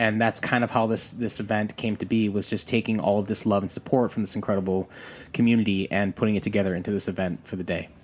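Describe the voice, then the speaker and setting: Delivered at a very fast pace, a man's fairly low voice keeps a monotone, flat intonation. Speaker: pitmaster. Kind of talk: casual chat.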